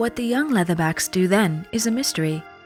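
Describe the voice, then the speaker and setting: A soft-spoken woman with lively intonation at a fairly quick pace, music playing in the background. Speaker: voice actor. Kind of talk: soft ASMR book reading aloud. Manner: soft-spoken, quiet, relaxing.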